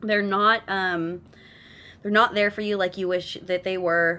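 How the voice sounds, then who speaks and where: On a very clean recording with a silent background, a woman speaks in a bright, sharp tone with a Californian accent. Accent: Californian valley girl. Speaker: tarot card reader. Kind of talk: live stream card reading. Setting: live stream at home. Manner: fast; animated.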